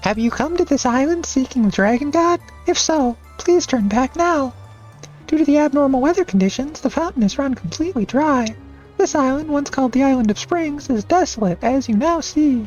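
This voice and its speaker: With clear music in the background, a man uses a put-on character voice at an extremely high pitch. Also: fairly quick pace. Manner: sweet, solemn warning.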